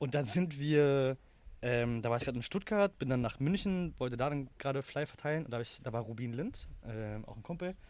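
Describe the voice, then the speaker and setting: An unremarkable speaking voice at a moderate pace, with ordinary pitch variation, in a very clean recording with a silent background. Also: man, medium pitch for a man. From Germany, Berlin. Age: 20s. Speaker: startup founder. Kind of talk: interview. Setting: in person recording.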